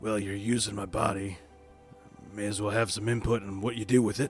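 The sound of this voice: Putting on a gravelly character voice at a fairly low pitch, a man talks at a fairly quick pace over clear music in the background.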